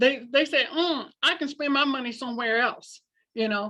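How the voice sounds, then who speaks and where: Against a quiet background, a woman uses a raised, projected voice with a high pitch and a bright, sharp tone. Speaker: school leadership trainer, former principal. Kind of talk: training presentation.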